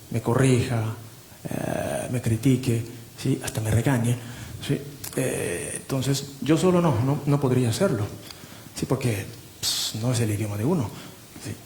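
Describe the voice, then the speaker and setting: Over noticeable background noise, a man with a Japanese accent speaks at medium pitch and a fairly slow pace, leaving long, frequent pauses. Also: ordinary pitch variation. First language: Japanese (speaking Spanish). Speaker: literary translator. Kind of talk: panel discussion. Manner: halting.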